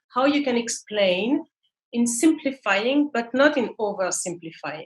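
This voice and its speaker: In a French accent, a woman speaks at a moderate pace with a somewhat breathy voice and lively intonation. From France. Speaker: marketing manager. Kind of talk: interview. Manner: halting.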